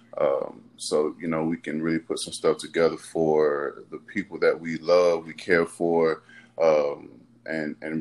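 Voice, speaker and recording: With a Houston accent, a man talks at a fairly slow pace. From Houston, Texas. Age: 30s. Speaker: former pro football player, military veteran. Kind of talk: casual chat.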